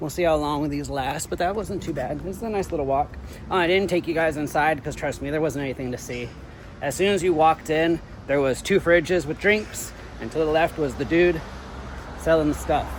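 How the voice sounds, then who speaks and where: Over noticeable background noise, a man with an American accent talks fairly quickly at a fairly high pitch with ordinary pitch variation. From United States. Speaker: travel vlogger. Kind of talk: casual vlog monologue. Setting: outdoors, walking in a city. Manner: loud.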